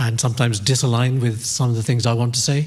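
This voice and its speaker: This man speaks at a fairly quick pace in a medium pitch. His voice is somewhat breathy, and there is audible room echo. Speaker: academic panelist. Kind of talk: conference presentation.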